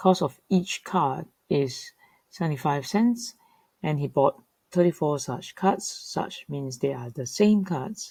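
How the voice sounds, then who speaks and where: Delivered at a very slow pace, the voice has a dark, mellow, somewhat breathy tone and lively intonation. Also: woman, very deep, low pitch for a woman. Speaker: teacher. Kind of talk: tutorial.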